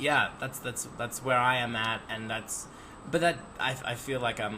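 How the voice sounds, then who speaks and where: A man talks at a fairly slow pace with fairly even intonation. Noticeable background noise runs behind him. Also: medium pitch for a man. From Australia. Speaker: podcast host, bartender. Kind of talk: casual chat. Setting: video podcast interview.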